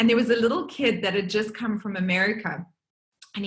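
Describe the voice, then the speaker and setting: Audible room echo on a medium-pitched female voice. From South Africa. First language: Portuguese. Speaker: workshop facilitator. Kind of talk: online group session talk. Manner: animated.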